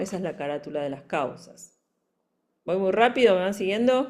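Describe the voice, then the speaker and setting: An unremarkable speaking voice moves with lively intonation. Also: woman. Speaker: forensic psychology expert and lecturer. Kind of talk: lecture.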